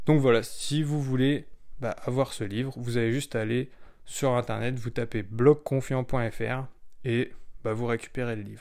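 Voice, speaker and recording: A man speaks fairly slowly in an ordinary speaking voice of medium pitch, his intonation fairly even. The recording is very clean, with a silent background. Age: 20s. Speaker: blogger. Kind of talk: solo podcast monologue. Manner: relaxed.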